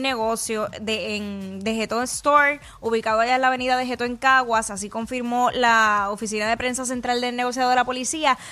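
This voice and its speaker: With a Puerto Rican accent, a woman speaks in a high pitch at a fairly quick pace with hardly any pauses, her tone upbeat, animated, bright and sharp. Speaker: radio host. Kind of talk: radio DJ patter, live morning show banter with promos and news. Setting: radio studio, live broadcast. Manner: fast, upbeat, animated, jokey with co-host, Puerto Rican radio energy.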